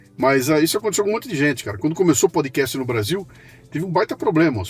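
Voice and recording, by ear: A man rattles along at a very fast pace, his pitch swinging very widely while music plays in the background. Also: fairly high pitch for a man.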